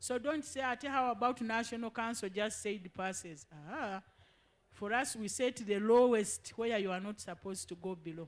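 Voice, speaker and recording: Using an ordinary speaking voice, a woman with a fairly high pitch talks at a moderate pace with ordinary pitch variation. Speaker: education official. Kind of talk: public information session.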